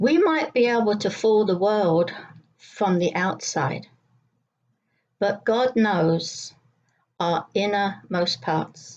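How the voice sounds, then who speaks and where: Speaking with a southeast English accent, a woman keeps a medium pitch and ordinary pitch variation. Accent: English Brighton. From southern England, Brighton. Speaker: church devotional speaker. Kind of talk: devotional talk.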